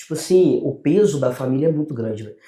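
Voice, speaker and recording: The man's tone is dark and mellow. He speaks at a fairly quick pace. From Brazil, São Paulo state / Minas Gerais (Poços de Caldas). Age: 20s. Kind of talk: podcast interview.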